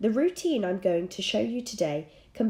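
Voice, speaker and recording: Somewhat breathy, a woman at medium pitch makes very wide pitch swings in a very clean recording with a silent background. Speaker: dressage and fitness coach. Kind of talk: fitness tutorial narration.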